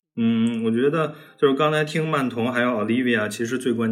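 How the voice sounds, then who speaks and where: A man talks in a plain, everyday voice, moving fairly quickly with ordinary pitch variation. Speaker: data scientist, podcast co-host. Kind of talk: casual chat, sharing experience.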